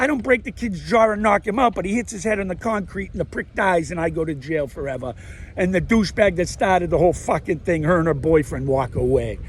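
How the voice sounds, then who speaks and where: A man talks loudly at a very fast pace, with a high pitch and lively intonation. His tone is animated. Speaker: vlogger, amateur comedian. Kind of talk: casual monologue to camera. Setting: outdoors, walking. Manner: rambling, animated.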